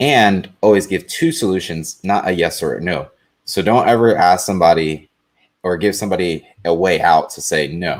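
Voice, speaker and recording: With ordinary pitch variation, a man talks in a very deep, low register. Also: moderate pace. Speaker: panelist with engineering background. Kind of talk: live panel discussion. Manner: dry, blunt.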